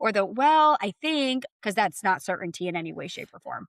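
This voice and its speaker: At a very fast pace, a woman talks at a medium pitch, the sound dry and close with no echo. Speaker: real estate agent and podcast co-host. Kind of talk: casual chat.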